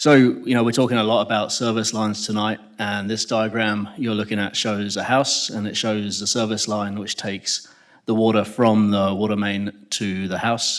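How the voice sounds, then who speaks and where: A man speaks with an English accent at a fairly low pitch. His intonation is monotone and flat, his pace moderate. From England. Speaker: civil engineer presenting a project. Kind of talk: public meeting presentation. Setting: public meeting room with audience.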